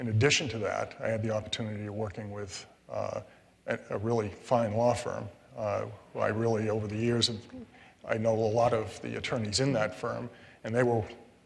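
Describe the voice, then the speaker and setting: A man's medium-pitched voice with an American accent, monotone and flat, at a fairly quick pace with long, frequent pauses, audible room echo and noticeable background noise. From Connecticut. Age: 60s. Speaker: retired state supreme court judge. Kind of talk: public interview. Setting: stage with live audience. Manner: hesitant, many fillers.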